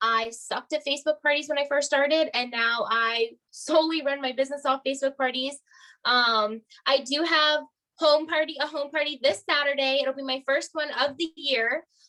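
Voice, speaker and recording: A woman projects a raised voice with a bright, sharp tone. Her pitch is high, and her intonation is fairly even. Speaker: direct sales star director. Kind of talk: training talk on video call.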